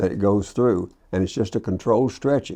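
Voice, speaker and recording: In a Kentucky accent, a man speaks with a dark, mellow tone at a fairly low pitch and ordinary pitch variation, against a quiet background. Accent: Southern US (Kentucky). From Kentucky, US South. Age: 80s+. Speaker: business owner, wire manufacturer. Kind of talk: interview. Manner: halting, many fillers and repeats.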